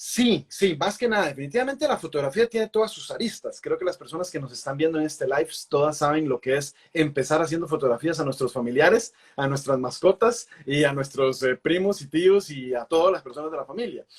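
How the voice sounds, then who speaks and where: This man's voice sits fairly high, and his intonation is lively. He moves at a fairly quick pace with hardly any pauses. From Costa Rica, Pacific coast (Puntarenas). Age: 20s. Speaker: wildlife photographer. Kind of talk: interview. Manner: talkative, hesitant with fillers.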